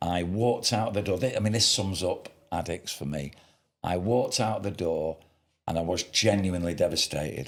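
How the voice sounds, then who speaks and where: The pitch of this man's voice is very deep and low. He talks at a moderate pace. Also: ordinary pitch variation. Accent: Mancunian. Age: 60s. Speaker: podcast host. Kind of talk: casual chat.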